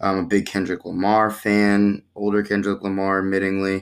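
This is a plain, everyday voice with an American accent at a moderate pace. The recording is very clean, with a silent background. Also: man. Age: 20s. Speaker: podcast host. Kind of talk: casual chat.

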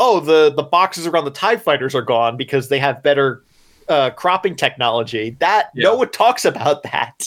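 A man with a plain, everyday voice speaks at a moderate pace, pitched fairly high with lively intonation. His loudness stays very even throughout. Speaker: podcast co-host. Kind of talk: casual chat, book discussion podcast. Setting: remote recording with own microphone.

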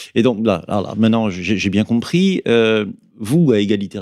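This man's voice has a dark, mellow tone and fairly low pitch, moving at a moderate pace. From France, Berry. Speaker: activist, former association president. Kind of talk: radio interview. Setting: studio.

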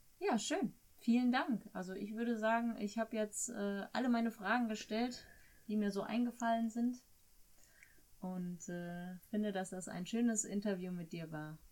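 A woman with a normal speaking voice, fairly high in pitch, at a moderate pace and with ordinary pitch variation. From Germany. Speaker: host's wife acting as interviewer. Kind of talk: casual interview. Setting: sitting next to the host.

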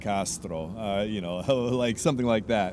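Audible room echo carries a man's fairly low voice with ordinary pitch variation. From Canada, Vancouver. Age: 30s. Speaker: street musician. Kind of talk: interview. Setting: outdoors on the street. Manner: halting, many repeated words.

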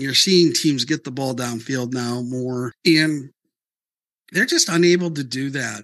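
A man's fairly high-pitched voice carries a bright, sharp tone with ordinary pitch variation. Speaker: sports analyst contributor. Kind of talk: casual sports analysis chat.

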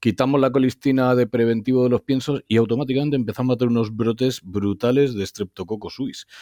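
Very fast with hardly any pauses, a man speaks in a dark, mellow tone at a medium pitch with fairly even intonation, the sound dry and close with no echo. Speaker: podcast host, veterinarian. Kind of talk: interview.

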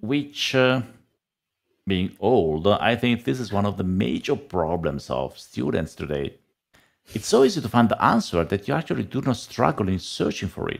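A man with an Italian accent speaks at a moderate pace, his vocal fry running through very wide pitch swings. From Italy. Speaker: data analytics trainer and author. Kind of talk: casual interview chat. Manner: halting.

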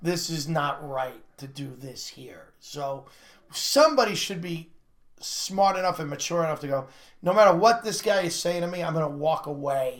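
Speaking at a moderate pace, a man with a high pitch uses ordinary pitch variation while his loudness swings a lot. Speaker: comedian and podcast co-host. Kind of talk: joke telling; casual chat. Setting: studio.

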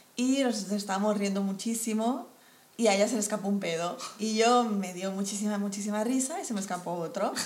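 Amid noticeable background noise and audible room echo, a woman with a medium pitch and ordinary pitch variation speaks at a fairly quick pace. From Colombia. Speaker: podcast co-host. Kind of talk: casual chat.

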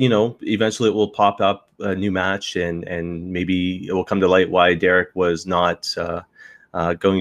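Here is a man with a very deep, low pitch. He talks at a moderate pace with fairly even intonation. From Canadian Maritimes. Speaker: wrestling podcaster. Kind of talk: casual chat. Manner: halting, many fillers.

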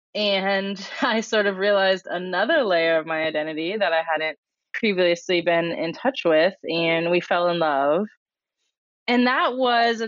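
A woman with a General American accent at a fairly slow pace, medium in pitch, with ordinary pitch variation. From Colorado, US. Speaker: diversity and inclusion trainer. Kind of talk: interview conversation. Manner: animated.

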